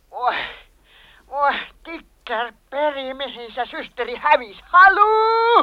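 A loud, shrill, put-on character voice that sounds female leaps through very wide pitch swings at a high pitch for a woman. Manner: shrieking loudly.

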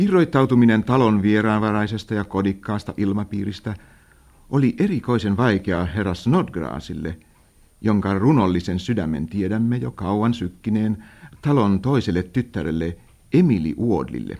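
Lively intonation runs through an unremarkable speaking voice delivered at a fairly slow pace. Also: man, fairly low pitch for a man. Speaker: narrator of radio drama. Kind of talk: vintage radio drama narration, formal literary storytelling. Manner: measured, formal and dry, in the old-fashioned radio announcer style.

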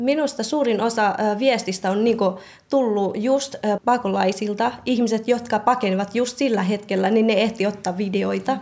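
Her pitch fairly high, a woman with a Myanmar accent keeps very even loudness and fairly even intonation at a moderate pace. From Thai-Myanmar border refugee camp (Karen). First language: Karen (speaking Finnish). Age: 20s. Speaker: nursing student. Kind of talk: interview. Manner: halting.

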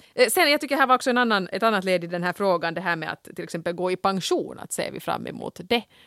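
A woman's bright, sharp tone at a very fast pace, lively intonation and big swings in loudness, hardly any pauses, on a very clean recording with a silent background and a dry, close sound with no echo. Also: medium pitch for a woman. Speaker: podcast co-host. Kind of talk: casual chat.

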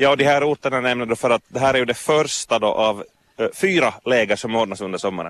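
Speaking at a very fast pace, a man uses a medium pitch with ordinary pitch variation, in a dry, close sound with no echo. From Vaasa, Finland. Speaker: radio reporter. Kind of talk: interview. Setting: outdoors at a swimming beach jetty.

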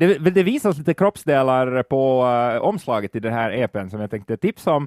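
At a moderate pace and medium pitch, a man with a normal speaking voice uses lively intonation, in a dry, close sound with no echo on a very clean recording with a silent background. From Finland. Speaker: podcast host. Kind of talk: casual chat.

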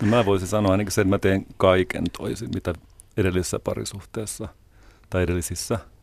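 A man with a very deep, low pitch and vocal fry speaks at a fairly quick pace with fairly even intonation, in a very clean recording with a silent background. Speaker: guest. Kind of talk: radio interview.

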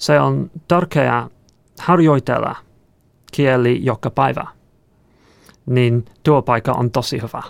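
With an English accent, a man of medium pitch speaks at a very slow pace with lively intonation and long, frequent pauses. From England. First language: English (speaking Finnish). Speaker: software engineer. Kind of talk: interview. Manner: halting, hesitant.

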